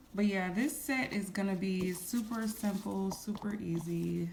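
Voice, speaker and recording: Noticeable background noise sits behind a woman speaking at a medium pitch and moderate pace with ordinary pitch variation. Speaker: nail artist. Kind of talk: tutorial. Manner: casual, chatty.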